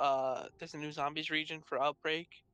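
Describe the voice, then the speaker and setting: A man's bright, sharp voice with an American accent. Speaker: podcast co-host. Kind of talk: casual chat.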